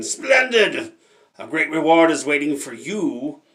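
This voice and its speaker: A man does a put-on character voice, raspy and fairly high-pitched, with very wide pitch swings. He talks at a fairly slow pace. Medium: read story.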